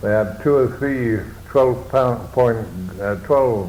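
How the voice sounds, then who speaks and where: Over noticeable background noise, a man talks very slowly at a medium pitch with ordinary pitch variation. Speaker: war veteran. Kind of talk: interview answer.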